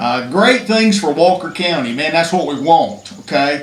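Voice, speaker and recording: Someone with an Alabama accent talks at a moderate pace, with noticeable background noise and audible room echo in the recording. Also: man. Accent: Alabama Southern US. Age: 60s. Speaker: state legislator. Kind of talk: public speech at press conference. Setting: press conference.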